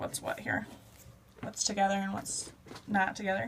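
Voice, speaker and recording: Here is a woman with an ordinary speaking voice and a fairly high pitch. She talks at a fairly quick pace. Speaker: math teacher. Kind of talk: tutorial.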